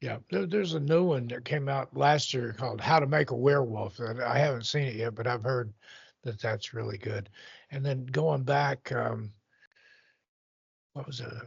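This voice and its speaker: A man's somewhat breathy, medium-pitched voice at a moderate pace, with ordinary pitch variation and long, frequent pauses. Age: 60s. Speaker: podcast guest. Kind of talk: casual chat.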